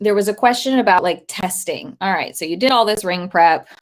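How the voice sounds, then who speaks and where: A woman speaks with ordinary pitch variation. The recording is very clean and the background silent. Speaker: dog agility trainer. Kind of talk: live stream talk. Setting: live stream to social media. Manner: unscripted.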